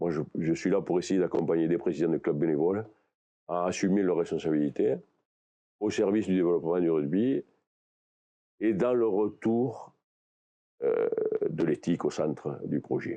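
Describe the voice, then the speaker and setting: This man has a very deep, low pitch and a dark, mellow tone, with ordinary pitch variation. His pace is moderate, broken by long, frequent pauses. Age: 60s. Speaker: candidate for regional rugby league president. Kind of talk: interview.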